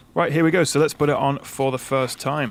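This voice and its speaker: Very fast speech in a British accent with ordinary pitch variation. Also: man. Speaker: tech reviewer. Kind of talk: tutorial. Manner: casual, frequent filler 'uh'.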